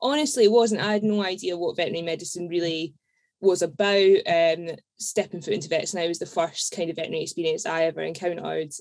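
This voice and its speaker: Talking very fast, a woman with a fairly low pitch shows ordinary pitch variation. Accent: slight Scottish. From Edinburgh, Scotland. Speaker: podcast guest, veterinary nurse.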